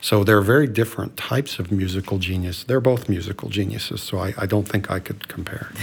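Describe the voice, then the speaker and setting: A man with an American accent talks at a very fast pace, with hardly any pauses. His pitch is fairly low with ordinary variation, and there is noticeable background noise. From Colorado. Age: 60s. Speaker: doctor. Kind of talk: casual chat.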